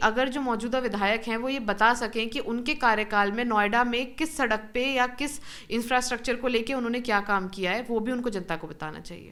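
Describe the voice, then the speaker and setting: A woman's fairly high voice carries a bright, sharp tone as she talks at a moderate pace. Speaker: politician, election candidate. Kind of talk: interview answer.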